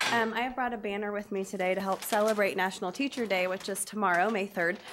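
A woman's very fast speech with fairly even intonation, amid noticeable background noise. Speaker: teacher presenting. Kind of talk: public presentation. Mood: warm, slightly nervous. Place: meeting room. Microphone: podium.

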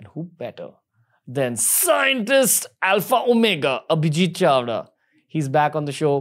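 A man's fairly high voice with very wide pitch swings over a quiet background. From India. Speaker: podcast host. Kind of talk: podcast interview; episode intro. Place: studio. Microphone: studio mic.

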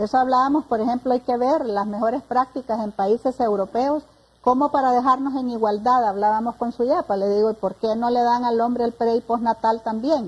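A woman's high voice, fairly quick with hardly any pauses and a fairly even intonation. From Honduras. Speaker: director of a women's services program; guest. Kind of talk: panel discussion. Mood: earnest, engaged. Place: studio. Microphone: lapel.

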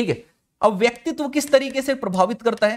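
Over a quiet background, a man speaks with an extremely high pitch and lively intonation. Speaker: online exam-prep educator. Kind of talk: lecture. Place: studio. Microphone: lapel.

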